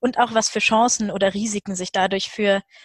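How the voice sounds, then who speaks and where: At a moderate pace, a woman speaks in a somewhat breathy voice with fairly even intonation, the sound dry with no echo and the background quiet. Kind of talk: webinar introduction. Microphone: video call.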